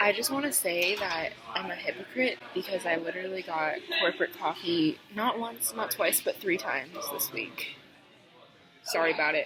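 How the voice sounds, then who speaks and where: With music in the background, a woman talks at a moderate pace in a fairly low pitch, her voice making very wide pitch swings. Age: young. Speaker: college student. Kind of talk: casual vlog talk to camera.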